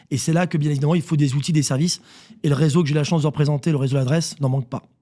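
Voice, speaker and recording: A man's fairly high, somewhat breathy voice with a dark, mellow tone, fairly even intonation and a very fast pace. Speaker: real estate network CEO. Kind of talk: radio interview.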